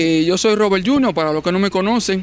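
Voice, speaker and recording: His intonation is lively. No echo colors the dry sound of this man's voice. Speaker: TV show host. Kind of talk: show host introduction. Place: studio. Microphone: handheld.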